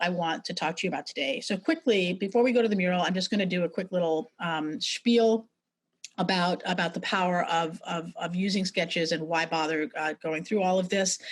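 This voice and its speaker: A woman with an American accent speaks at a medium pitch with ordinary pitch variation. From New York City. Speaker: brand strategist and sketching teacher; presenter. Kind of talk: webinar presentation. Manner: fast; halting, many fillers and repetitions. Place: home room. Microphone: video call.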